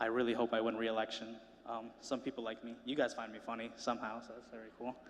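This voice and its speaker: Here a man talks with a Spanish accent. His pace is fairly quick and his intonation is monotone and flat. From Rhode Island (Cranston), US. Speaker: student speaker. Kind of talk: speech to an audience. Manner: casual and joking.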